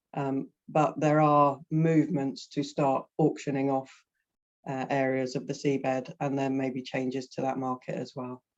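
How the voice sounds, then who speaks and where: At a moderate pace, the speaker talks in a British accent. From Britain. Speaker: energy consultant. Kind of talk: webinar presentation. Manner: halting, many fillers.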